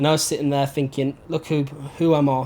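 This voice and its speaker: A man speaks with a Birmingham accent at a fairly quick pace, his pitch fairly high. Noticeable background noise runs underneath. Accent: Birmingham (Brummie) English. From Birmingham, England. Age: 20s. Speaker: holiday rep and young entrepreneur. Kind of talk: personal testimony interview.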